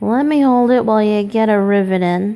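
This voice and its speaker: Putting on a character voice, a woman speaks at a fairly high pitch with ordinary pitch variation. She moves at a fairly quick pace. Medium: read story. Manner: growling, belligerent.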